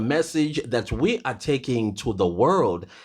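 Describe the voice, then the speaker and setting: A man talks in an animated tone with vocal fry, his pitch swinging very widely. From South Africa. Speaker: YouTuber commentator. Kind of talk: casual vlog commentary.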